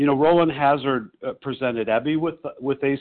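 Speaking at a moderate pace with an American accent, a man has an unremarkable speaking voice and fairly even intonation. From Chicago. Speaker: support group member. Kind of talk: personal testimony. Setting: phone conference call.

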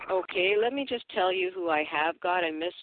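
A woman speaks in a Canadian accent at a fairly low pitch. She has an unremarkable speaking voice with ordinary pitch variation. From Canada. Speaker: twelve-step meeting leader. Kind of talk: meeting facilitation. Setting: phone call.

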